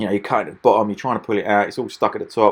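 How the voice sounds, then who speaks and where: Over a quiet background, a man with an Essex accent speaks at a medium pitch with fairly even intonation. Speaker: machinery dealer. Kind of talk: product demonstration voiceover. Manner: casual, hesitant with repetitions.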